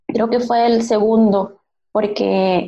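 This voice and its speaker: In a dry, close sound with no echo, a woman with an ordinary speaking voice and a fairly high pitch talks at a fairly slow pace with ordinary pitch variation. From Venezuela, Maracaibo. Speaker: UX designer. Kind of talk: interview.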